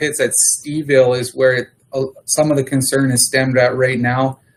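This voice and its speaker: With a Canadian prairie accent, the speaker keeps a moderate pace and fairly even intonation. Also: man. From Manitoba, Canada. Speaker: agricultural services manager. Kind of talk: council meeting report. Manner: hesitant, many fillers.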